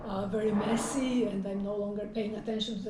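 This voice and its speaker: Woman with a Polish accent, fairly high pitch, monotone, flat intonation and a moderate pace, plus audible room echo and noticeable background noise. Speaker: professor. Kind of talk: interview conversation. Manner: halting, many fillers.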